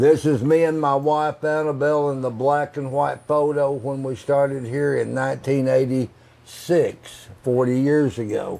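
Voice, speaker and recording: A man's fairly high, dark and mellow voice with an American accent, monotone and flat, at a fairly slow pace. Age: 80s+. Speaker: roadside attraction owner. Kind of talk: casual chat. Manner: halting, many fillers.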